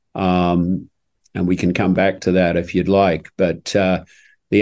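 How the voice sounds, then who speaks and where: A man with a New Zealand accent talks at a fairly slow pace in a very deep, low pitch. The background is quiet. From New Zealand, South Island. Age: 70s. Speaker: equine orthopedic surgeon. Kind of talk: interview storytelling.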